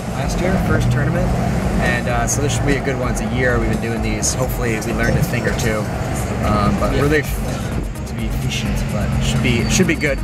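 Music plays in the background as a man talks at a fairly quick pace. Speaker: vlogger driving. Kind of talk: casual vlog chat. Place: car. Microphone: phone near.

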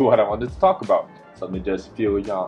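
A man rattles off his words very fast while music plays faintly behind him. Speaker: vlogger. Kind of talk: casual vlog chat. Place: home room. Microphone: phone near.

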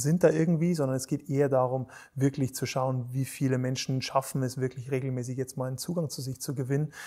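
A man speaks at a moderate pace with a dark, mellow tone. His intonation is fairly even, and the background is quiet. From Bavaria, Germany. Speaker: resilience coach and Olympic rowing champion; resilience coach. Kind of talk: interview conversation. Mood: calm, thoughtful, friendly.

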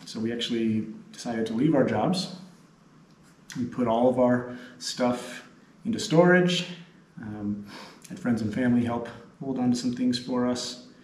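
Amid audible room echo, a man speaks at a moderate pace with ordinary pitch variation and long, frequent pauses. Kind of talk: casual interview-style chat to camera. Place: hall. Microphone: camera far.

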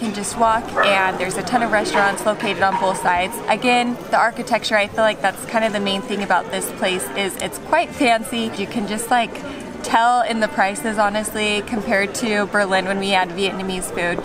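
Over clear background music, a woman talks at a fairly quick pace with hardly any pauses. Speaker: travel vlogger. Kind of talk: casual vlog chat. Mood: cheerful, chatty. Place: street. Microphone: camera far.

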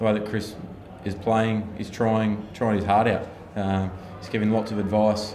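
A man's fairly low voice at a fairly quick pace, with audible room echo and light background noise. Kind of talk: interview answer. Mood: calm, reflective after a loss. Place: hall. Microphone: handheld.

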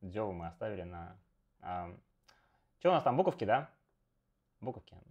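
Talking at a very fast pace, a man uses a fairly low pitch with very wide pitch swings. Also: quiet background. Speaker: Go streamer and teacher; Go streamer, teacher. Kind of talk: live game commentary stream. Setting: live stream with remote co-host. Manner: animated, chatty with many fillers. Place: home room. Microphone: earbuds.

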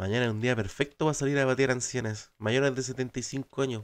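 A man in a Chilean accent at a moderate pace. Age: 20s. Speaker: gaming streamer; streamer. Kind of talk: casual live stream chat; casual gaming stream chat. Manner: animated.

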